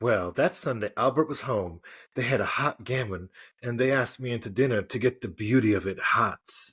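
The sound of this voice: The reading voice here is unforced. Its pitch variation is ordinary.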